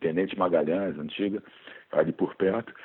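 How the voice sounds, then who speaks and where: With a normal speaking voice, a man talks at a fairly quick pace and a fairly low pitch. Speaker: biology teacher and author. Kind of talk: casual interview chat.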